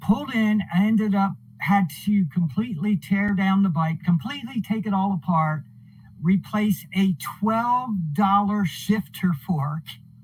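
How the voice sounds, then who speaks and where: Against noticeable background noise, a man with an American accent speaks at a high pitch and a fairly slow pace, with ordinary pitch variation and very even loudness. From New Jersey. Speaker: author. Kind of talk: podcast interview. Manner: halting.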